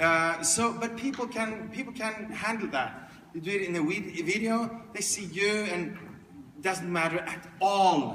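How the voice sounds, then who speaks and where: Fairly slow speech with ordinary pitch variation, noticeable background noise and audible room echo. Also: man, high pitch for a man. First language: non-English. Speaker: speaker and coach. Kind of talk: keynote Q&A. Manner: halting.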